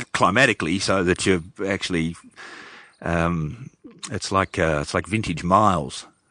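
This man has a very deep, low voice with a bright, sharp tone and an Australian accent. He talks at a fairly slow pace with ordinary pitch variation. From northwestern Victoria, Australia. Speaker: brewer and winemaker. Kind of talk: casual interview chat. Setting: on a farm.

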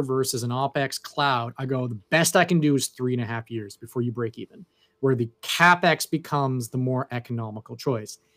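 In a Canadian accent, a normal speaking voice moves at a fairly quick pace with a dry, close sound and no echo. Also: man, very clean recording, silent background. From Canada. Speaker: cloud infrastructure sales consultant. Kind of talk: casual interview chat.

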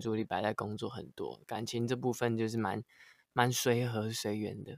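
The recording of this man's medium-pitched voice is very clean, with a silent background. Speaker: singer-songwriter. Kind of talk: casual chat.

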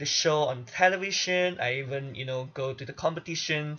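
This man's voice is fairly high in pitch, with lively intonation. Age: 20s. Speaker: podcast host and singer. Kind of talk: solo monologue. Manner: animated.

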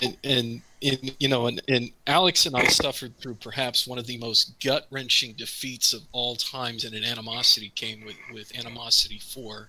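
A man speaks at a moderate pace and medium pitch with fairly even intonation and hardly any pauses, over noticeable background noise. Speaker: tabletop gamer, campaign player. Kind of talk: casual chat, livestream. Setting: livestream with chat.

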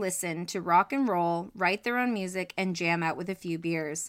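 A woman uses an ordinary speaking voice at a medium pitch and a moderate pace, with ordinary pitch variation. The recording is very clean, the background silent. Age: 30s. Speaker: true crime podcast co-host. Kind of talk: casual chat; scripted narration.

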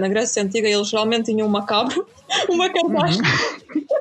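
Pitch swings very widely throughout. Music plays in the background. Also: woman. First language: Ukrainian or Russian (speaking Portuguese). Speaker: YouTuber on Slavic culture. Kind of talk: casual chat.

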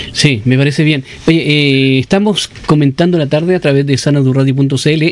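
With fairly even intonation, a man's fairly high pitch comes through noticeable background noise. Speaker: radio host. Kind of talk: radio interview.

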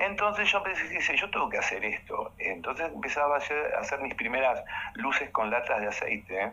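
The speaker talks at a fairly quick pace with noticeable background noise. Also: man. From Uruguay, Montevideo. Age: 50s. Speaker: dancer and choreographer. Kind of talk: casual interview chat. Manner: animated.

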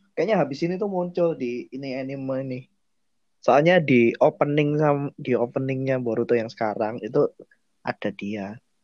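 This man has an ordinary speaking voice at medium pitch, with ordinary pitch variation and a moderate pace. The sound is dry and close, with no echo. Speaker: podcast host. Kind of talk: casual chat.

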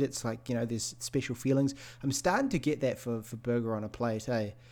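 On a very clean recording with a silent background, a man in a New Zealand accent talks at a fairly quick pace with ordinary pitch variation. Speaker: podcast co-host and streamer. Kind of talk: casual chat.

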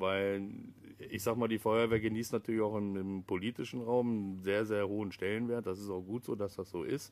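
A man talks at a fairly quick pace in a fairly low pitch. His intonation is monotone and flat. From Lower Saxony, Germany (Pattensen near Hanover). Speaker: local politician and volunteer firefighter. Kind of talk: casual interview. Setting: outdoors in a garden.

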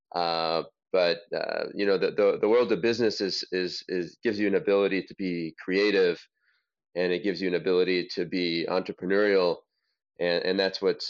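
A man with an American accent and a very deep, low pitch, speaking at a moderate pace. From US, Los Angeles, California. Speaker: investor and business founder. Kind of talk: interview. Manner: halting, many repetitions and fillers.

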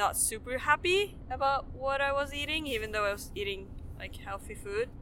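A woman with a Swedish accent speaks at a moderate pace. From Sweden. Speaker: professional skier. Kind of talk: casual interview.

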